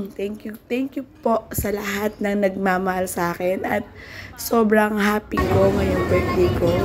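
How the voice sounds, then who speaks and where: A woman's fairly slow speech is accompanied by music in the background. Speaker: vlogger and small business owner. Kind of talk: casual vlog talk. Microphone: no microphone, voice hard to hear.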